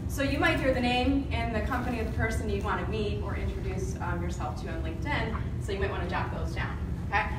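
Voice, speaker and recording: Over loud background noise and audible room echo, a woman speaks at a very fast pace. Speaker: presenter, marketing trainer. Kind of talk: presentation to audience. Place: meeting room. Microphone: camera far.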